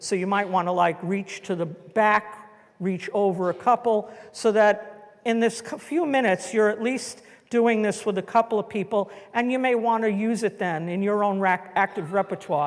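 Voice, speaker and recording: A woman with a New York accent speaks at a moderate pace, her medium pitch showing ordinary variation. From New York City. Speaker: educator leading a workshop. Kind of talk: guided group activity instructions. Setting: conference room with live audience.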